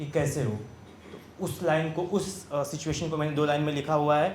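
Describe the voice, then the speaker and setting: In an ordinary speaking voice, a man talks at a moderate pace and a fairly high pitch with ordinary pitch variation. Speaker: poet. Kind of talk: casual talk to live audience.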